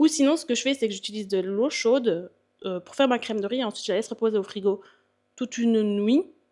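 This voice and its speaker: Against a silent background in a very clean recording, a woman speaks at a very fast pace with a fairly high pitch. Her tone is dark and mellow, with ordinary pitch variation and big swings in loudness. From Belgium. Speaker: bodybuilder and fitness coach. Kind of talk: casual vlog Q&A. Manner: hesitant, many fillers.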